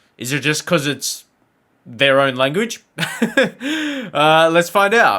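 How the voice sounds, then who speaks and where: A man with an Australian accent talks at a very slow pace, high for a man, with very wide pitch swings and a bright, sharp tone. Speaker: YouTube reaction creator. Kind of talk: casual talk to camera.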